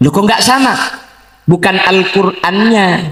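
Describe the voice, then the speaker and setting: Fairly even intonation from a man with a high voice, at a fairly slow pace. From Madura, Bangkalan. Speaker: Islamic preacher. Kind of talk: religious sermon. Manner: humorous.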